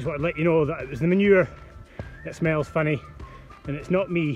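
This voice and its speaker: A man is heard with a dry sound with no echo and faint music in the background. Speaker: cyclist vlogger. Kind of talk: casual vlog chat. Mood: playful, joking. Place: bicycle.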